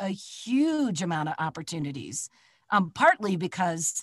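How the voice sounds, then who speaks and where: A somewhat breathy woman with a Midwestern American accent speaks at a fairly slow pace in a medium pitch, with a dry, close sound and no echo. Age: 60s. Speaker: voice actor. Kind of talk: casual chat. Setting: video call.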